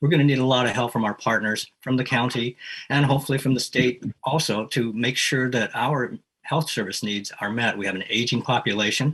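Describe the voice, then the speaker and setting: Using a plain, everyday voice, a man talks at a fairly quick pace and medium pitch. His intonation is fairly even. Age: 60s. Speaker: city council candidate. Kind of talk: candidate forum answer. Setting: video call.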